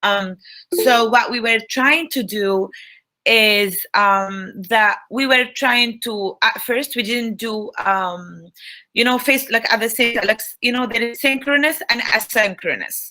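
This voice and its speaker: A woman with an Arabic accent, a fairly high pitch, a bright and sharp tone, ordinary pitch variation and a fairly slow pace. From Tunisia. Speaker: Arabic language instructor. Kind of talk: online talk.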